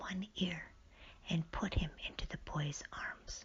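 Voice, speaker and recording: A woman whispering. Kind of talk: bedtime story reading. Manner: whispered; soft-spoken, slow.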